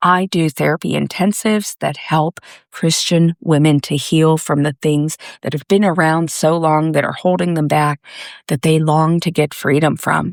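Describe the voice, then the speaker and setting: Very clean with a silent background, the recording captures a woman's gentle tone at a very deep, low pitch. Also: fairly even intonation, dry, close sound with no echo. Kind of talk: pep talk. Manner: slow.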